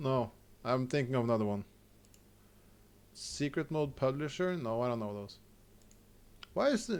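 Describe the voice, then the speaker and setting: A man speaks with a Norwegian accent at a moderate pace, his intonation lively. The recording is very clean, with a silent background. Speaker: video game streamer. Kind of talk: live gameplay stream chat. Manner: halting, frequent stammers and restarts.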